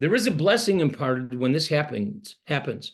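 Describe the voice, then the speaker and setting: A man with a fairly high pitch speaks against a quiet background. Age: 70s. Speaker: pastor. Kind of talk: sermon. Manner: halting.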